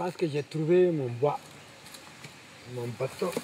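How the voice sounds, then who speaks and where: Over noticeable background noise, a man speaks very slowly at a fairly high pitch with ordinary pitch variation. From Burkina Faso. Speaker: storyteller. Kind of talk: interview answer. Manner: passionate.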